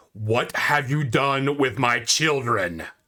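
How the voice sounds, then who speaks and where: Putting on a booming character voice at a medium pitch, a man speaks at a fairly slow pace. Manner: commanding, menacing.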